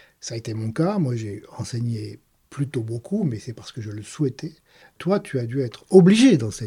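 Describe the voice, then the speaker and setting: Speaking at a moderate pace and medium pitch, a man sounds somewhat breathy with a dark, mellow tone, lively intonation and big swings in loudness, on a very clean recording with a silent background. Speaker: podcast host, mathematician. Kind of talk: casual interview.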